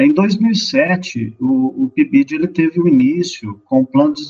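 A man's voice swings very widely in pitch. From Minas Gerais, Brazil (Luz). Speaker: mathematics professor. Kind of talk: radio interview. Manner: hesitant, many fillers.

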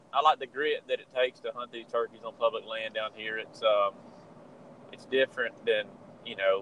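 The speaker has a Southern US accent and a moderate pace. Loudness swings widely from moment to moment. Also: man. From Georgia, US South. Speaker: turkey hunter and calling champion. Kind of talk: casual interview chat.

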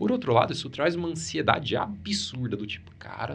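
A man speaks with a somewhat breathy voice and very wide pitch swings, and the room echo is audible. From Brazil, Paraná (Maringá). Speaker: oncologist. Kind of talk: interview conversation.

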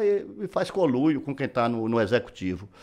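This man's pitch swings very widely. His pace stays moderate. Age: 70s. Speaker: businessman and former politician. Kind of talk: casual chat.

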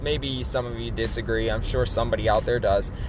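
A man talks with music in the background and audible room echo. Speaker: YouTuber. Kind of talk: channel update vlog. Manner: unscripted, relaxed.

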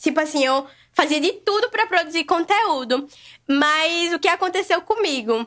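This woman's voice is extremely high, with lively intonation at a moderate pace. The recording is very clean, with a silent background. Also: very even loudness. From Brazil, Natal (Rio Grande do Norte, Northeast). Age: 20s. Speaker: vegan food content creator. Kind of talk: casual podcast conversation.

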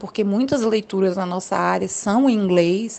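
This woman speaks at a moderate pace with a medium pitch. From Brazil, Federal District. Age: 20s. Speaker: political scientist. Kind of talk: interview. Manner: hesitant with fillers.

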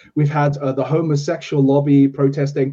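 A man's fairly high-pitched voice, dark and mellow in tone and somewhat breathy. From South Africa. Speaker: podcast host. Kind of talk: interview.

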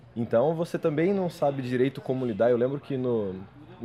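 Here a man has an unremarkable speaking voice at medium pitch. He talks at a fairly quick pace with ordinary pitch variation. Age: 20s. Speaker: history master's student. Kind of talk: casual chat.

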